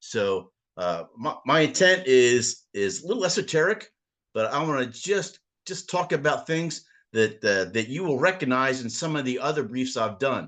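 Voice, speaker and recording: With a Philadelphia accent, a man speaks at a fairly high pitch that swings very widely. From Philadelphia, US. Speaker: sailing instructor. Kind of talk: presentation. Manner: fast; slurred.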